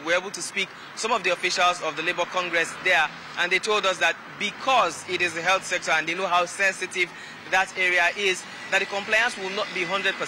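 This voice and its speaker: Over noticeable background noise, a man talks at a fairly quick pace. His high voice stays monotone and flat. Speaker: field correspondent. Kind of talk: news field report. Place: street. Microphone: handheld.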